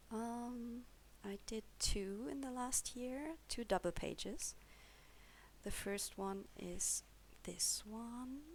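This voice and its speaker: With a German accent, a woman speaks at a very slow pace. Long pauses come often. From Germany. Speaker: coloring hobbyist YouTuber. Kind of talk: casual show-and-tell video. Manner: hesitant, with fillers.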